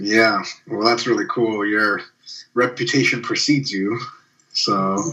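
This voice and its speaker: Speaking at a fairly slow pace with fairly even intonation, a man with an American accent uses an ordinary speaking voice. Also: medium pitch for a man. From Russia, then USA from age 7. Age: 30s. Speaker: sport scientist. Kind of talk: casual chat.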